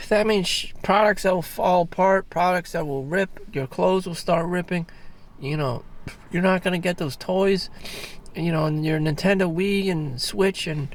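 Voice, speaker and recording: With a high pitch, a man talks using ordinary pitch variation. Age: 40s. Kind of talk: casual talk to camera. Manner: rambling, hesitant.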